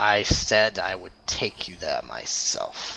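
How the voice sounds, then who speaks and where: A man does a raspy, put-on character voice. He speaks at a very slow pace. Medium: actual play. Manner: haughty, contemptuous.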